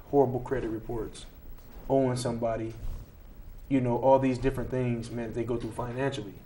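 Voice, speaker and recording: A man's dark, mellow tone at medium pitch, in a monotone, flat intonation, with audible room echo. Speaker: talk show host. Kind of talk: casual discussion.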